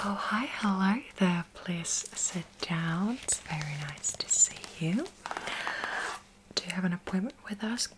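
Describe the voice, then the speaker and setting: A woman's gentle tone at a fairly slow pace, with noticeable background noise. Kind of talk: ASMR roleplay, personal attention. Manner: friendly, gentle, with frequent hesitations.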